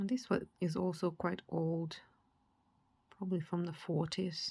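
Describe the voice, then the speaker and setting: A woman with a fairly low pitch and a dark, mellow, somewhat breathy tone speaks at a fairly slow pace with fairly even intonation. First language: not English. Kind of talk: casual show-and-tell. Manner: halting, with fillers.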